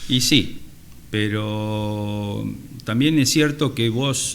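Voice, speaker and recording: Audible room echo surrounds a man with an Argentine accent, his medium pitch showing ordinary variation. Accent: Rioplatense Argentine Spanish. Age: 60s. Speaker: surgeon and university lecturer. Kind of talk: interview conversation.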